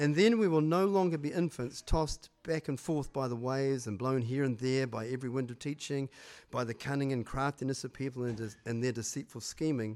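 Speaking with a New Zealand accent at medium pitch, a man talks with hardly any pauses. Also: ordinary pitch variation. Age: 60s. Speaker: church pastor. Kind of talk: sermon. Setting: church with congregation. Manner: hesitant, filler-heavy.

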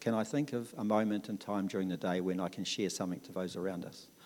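With a New Zealand accent, a man talks at a fairly quick pace. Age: 60s. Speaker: church member. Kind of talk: testimony. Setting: church. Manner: talkative.

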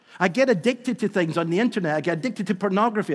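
A man with a Scottish accent speaks in a high voice, his pitch varying in an ordinary way. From Scotland. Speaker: visiting preacher. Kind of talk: sermon. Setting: church.

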